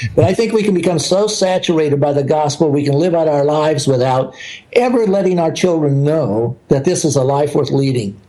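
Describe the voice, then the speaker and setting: With an American accent, a man talks at a fairly quick pace in a fairly high pitch, his intonation lively and his loudness very even, over noticeable background noise. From US South. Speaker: missionary leader. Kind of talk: interview.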